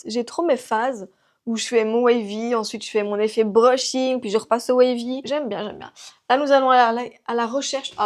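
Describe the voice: In a very clean recording with a silent background, a woman with a regional French accent speaks in a high pitch, her intonation fairly even but her loudness swinging widely. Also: moderate pace.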